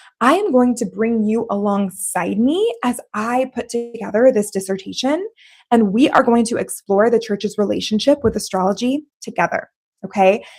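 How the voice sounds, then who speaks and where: A woman with a normal speaking voice talks at a moderate pace. Her fairly high pitch rides on lively intonation. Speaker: theologian and doctoral student, former teacher. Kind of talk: live stream monologue. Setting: live stream.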